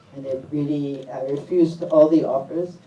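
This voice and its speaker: A woman's very deep, low-pitched voice with an American accent and monotone, flat intonation, amid noticeable background noise and audible room echo. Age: 70s. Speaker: documentary filmmaker. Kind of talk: panel discussion. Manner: halting, with fillers.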